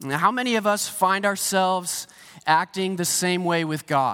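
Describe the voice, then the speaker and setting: The tone is bright and sharp, with fairly even intonation at a moderate pace. The recording is very clean, with a silent background. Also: man. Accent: American. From US, Pennsylvania. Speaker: pastor. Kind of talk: sermon. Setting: church stage with congregation. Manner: casual, conversational preaching.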